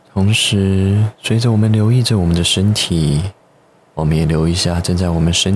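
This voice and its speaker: A man speaks at a moderate pace in a very deep, low voice with ordinary pitch variation. His loudness stays very even while noticeable background noise runs underneath. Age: young. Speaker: psychotherapist. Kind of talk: interview. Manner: articulate and well-organized.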